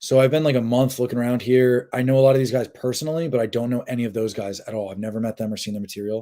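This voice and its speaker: Dark and mellow in tone, a man speaks at a very fast pace with fairly even intonation on a very clean recording with a silent background. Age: 30s. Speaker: dating coach livestreamer. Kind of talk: casual livestream chat reading comments. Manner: casual, halting with fillers.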